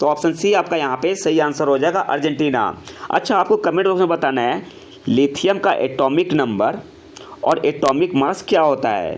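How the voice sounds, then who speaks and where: A man's hoarse put-on character voice, fairly high in pitch, at a moderate pace with ordinary pitch variation and light background noise. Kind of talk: quiz host explaining answers.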